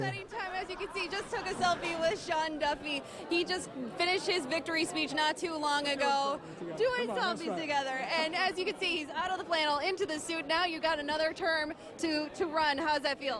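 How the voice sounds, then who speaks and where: A woman with extremely high pitch and ordinary pitch variation at a fairly quick pace, over crowd noise in the background. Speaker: TV news reporter and anchor. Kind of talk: TV news field report.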